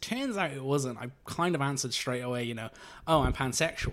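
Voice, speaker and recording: A man speaks with a South Welsh accent at a medium pitch. The recording is very clean, with a silent background. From South Wales, Monmouthshire (Abergavenny). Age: 20s. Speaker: computer programmer sharing coming-out story. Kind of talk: casual interview.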